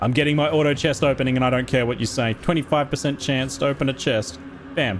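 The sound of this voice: Over noticeable background noise, a man with an Australian accent talks at a very fast pace. His medium pitch shows ordinary pitch variation, and his loudness stays very even.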